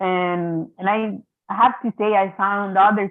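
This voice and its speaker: A woman with an Italian accent. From Italy. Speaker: mediator. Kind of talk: symposium talk over video. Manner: hesitant, many repetitions.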